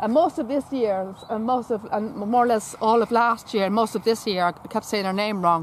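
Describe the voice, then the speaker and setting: Speaking in an Irish accent, a woman uses a fairly high pitch and ordinary pitch variation at a moderate pace. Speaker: horse enthusiast vlogger. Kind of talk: casual chat. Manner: halting, repetitive.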